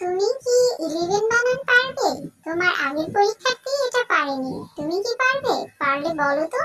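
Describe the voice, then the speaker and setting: A woman performs a cartoonish character voice at an extremely high pitch. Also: moderate pace. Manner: crisp, schoolmarmish questioning.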